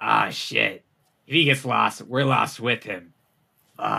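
In a put-on character voice, a man rasps at a medium pitch. He speaks at a fairly slow pace. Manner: panicked, cursing.

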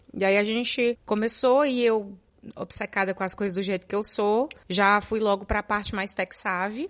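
On a very clean recording with a silent background, a woman with a medium pitch and a normal speaking voice talks at a moderate pace. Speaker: podcaster and podcast editor. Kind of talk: casual interview chat.

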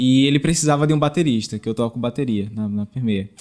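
A man talks in a normal speaking voice at a medium pitch with ordinary pitch variation, the recording very clean and the background silent. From Sergipe, Brazil. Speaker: band drummer. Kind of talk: casual interview chat. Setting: small studio.

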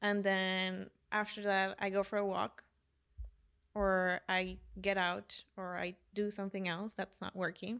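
Speaking fairly slowly with a Spanish accent, a woman at a medium pitch comes through on a very clean recording with a silent background. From Colombia. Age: 20s. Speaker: life coach. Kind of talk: casual chat.

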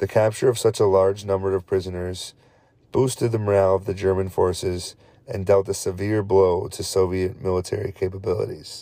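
Recorded very cleanly against a silent background, the voice has a dark, mellow tone and monotone, flat intonation at a fairly quick pace. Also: man. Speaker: history podcast host. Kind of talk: scripted narration. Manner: occasional stumbles over words.

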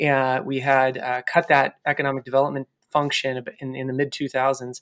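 A man's medium-pitched, monotone voice with flat intonation and a Californian accent, in a dry, close sound with no echo. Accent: General American (Californian). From California, US (San Luis Obispo). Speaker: city economic development director. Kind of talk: interview.

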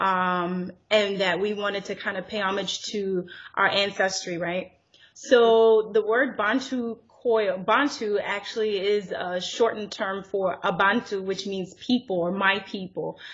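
A woman with an American accent talks in a normal speaking voice. Her pace is fairly slow and her intonation fairly even. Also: medium pitch for a woman. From US (born in Zimbabwe, left at five). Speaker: entrepreneur, natural hair brand owner. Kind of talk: casual interview.

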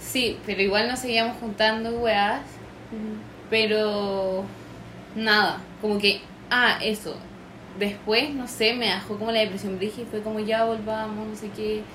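In a Chilean accent, a woman speaks at a fairly slow pace with long, frequent pauses, her fairly high voice set in monotone, flat intonation. Audible room echo surrounds her. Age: young. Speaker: abuse survivor. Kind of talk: testimony.

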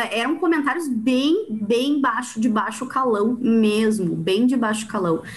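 A woman uses lively intonation while talking at a very slow pace. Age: 30s. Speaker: podcast host, poet. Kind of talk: casual chat.

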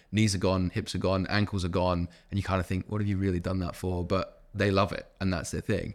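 Very deep, low male voice in a monotone, flat delivery, at a fairly quick pace with hardly any pauses, on a very clean recording with a silent background. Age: 20s. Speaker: podcast host and personal trainer. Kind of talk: casual chat. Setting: gym.

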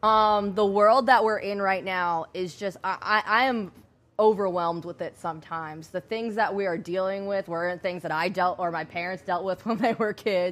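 On a very clean recording with a silent background, a woman with an American accent speaks at a moderate pace. She has an unremarkable speaking voice, a medium pitch and fairly even intonation. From Rhode Island, US. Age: 20s. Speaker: entrepreneur, beauty shop owner. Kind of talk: interview.

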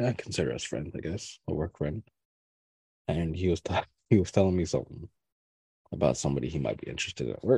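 The dark, mellow voice has vocal fry and lively intonation, moving at a very fast pace between long, frequent pauses in a dry, close sound with no echo. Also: man, very deep, low pitch for a man. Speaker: podcast host. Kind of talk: casual chat.

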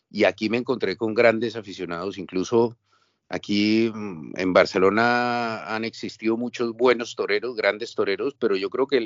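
Speaking with a Colombian accent, a man has a fairly low pitch. His pace is moderate. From Colombia, Bogotá. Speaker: writer and former novice bullfighter. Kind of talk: interview.

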